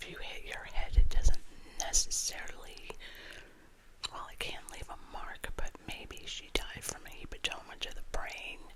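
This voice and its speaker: Whispering at a fairly slow pace, a woman swings widely in loudness over noticeable background noise. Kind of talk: ASMR crime story reading with casual talk to camera. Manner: soft-spoken, whispered.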